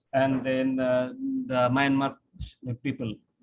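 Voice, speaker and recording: A man speaks. His pace is very slow. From Bangladesh. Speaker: professor. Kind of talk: webinar Q&A answer. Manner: halting, many fillers.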